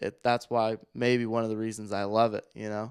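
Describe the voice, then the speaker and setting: The recording is very clean with a silent background. A man with an unremarkable speaking voice talks at a moderate pace and medium pitch. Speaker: podcast co-host. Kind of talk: casual chat.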